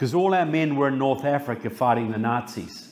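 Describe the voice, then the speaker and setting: A man with a New Zealand accent and a fairly high pitch, lively in intonation, amid audible room echo and noticeable background noise. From New Zealand, Christchurch. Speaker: author and public speaker. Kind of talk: political speech. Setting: stage with audience.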